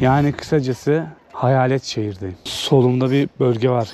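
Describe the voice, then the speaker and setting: A medium-pitched male voice with fairly even intonation, over noticeable background noise. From Turkey, Samsun. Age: 30s. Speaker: travel vlogger. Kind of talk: travel vlog narration. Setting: outdoors. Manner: casual.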